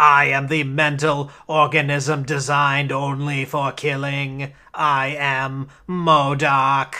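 A man's put-on, robotic character voice, fairly high, monotone and flat, very slow, on a very clean recording with a silent background. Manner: menacing, declarative.

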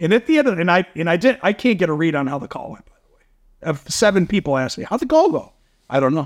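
Animated and very fast, a man talks in a high voice with lively intonation. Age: 50s. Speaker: company CEO. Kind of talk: casual interview chat. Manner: high energy, animated.

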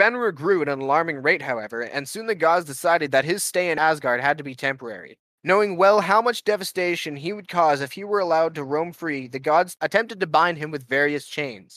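Here a man uses a bright, sharp tone. He speaks at a fairly quick pace with hardly any pauses. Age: 20s. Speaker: podcast co-host. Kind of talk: casual chat.

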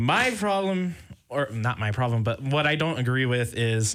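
In an unremarkable speaking voice, a man talks at a moderate pace with an American accent and lively intonation, on a very clean recording with a silent background. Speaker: college radio sports host. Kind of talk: casual sports talk radio.

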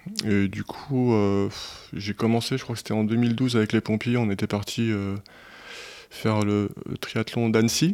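Monotone, flat intonation at a fairly slow pace, with long, frequent pauses, in a very clean recording with a silent background. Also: man, fairly low pitch for a man. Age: 40s. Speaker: firefighter and amateur ultra cyclist. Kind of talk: casual chat. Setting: studio.

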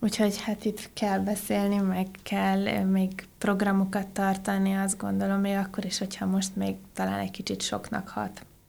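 The recording is very clean with a silent background. A woman speaks at a moderate pace with hardly any pauses. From Transylvania, Romania (Oradea). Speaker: IT business unit and innovation manager. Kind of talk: casual interview chat.

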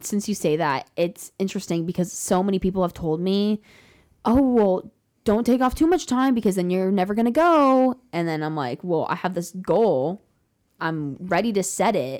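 This woman has a plain, everyday voice at medium pitch, speaking at a moderate pace with lively intonation. Her recording is very clean, with a silent background. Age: young. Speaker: podcast guest on a gap year. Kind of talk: casual chat.

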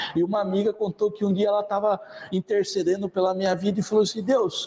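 Fairly quick speech from a man pitched high, over noticeable background noise. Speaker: evangelist. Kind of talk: sermon. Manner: casual, hesitant with fillers.

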